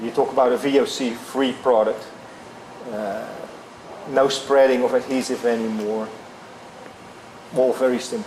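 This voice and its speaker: Through noticeable background noise, a man with a slight European accent speaks in fairly even intonation, leaving long, frequent pauses. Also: medium pitch for a man, moderate pace. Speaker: flooring company executive. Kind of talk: interview. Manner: halting.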